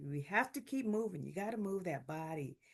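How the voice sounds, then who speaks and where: The background stays quiet. Against it, a woman talks at a moderate pace, her pitch varying in an ordinary way. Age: 60s. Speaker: health video host, heart attack survivor. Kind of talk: informal health talk to camera. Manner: casual, halting with fillers.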